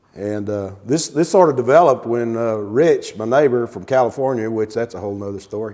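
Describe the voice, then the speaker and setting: A man at a fairly quick pace with hardly any pauses and big swings in loudness, over noticeable background noise. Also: medium pitch for a man, ordinary pitch variation. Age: 60s. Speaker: motorcycle enthusiast, podcast guest. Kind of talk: casual chat. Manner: halting.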